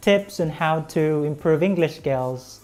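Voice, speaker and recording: A woman's very deep, low voice with a Visayan Filipino accent, ordinary pitch variation and a fairly slow pace, music in the background. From Philippines, Visayan-speaking region. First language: Visayan (Bisaya). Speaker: English teacher, YouTuber. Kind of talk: tutorial.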